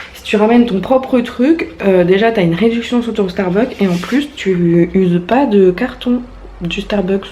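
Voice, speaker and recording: Over noticeable background noise, a woman of medium pitch speaks at a fairly slow pace with lively intonation. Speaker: vlogger. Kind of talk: casual vlog talk to camera.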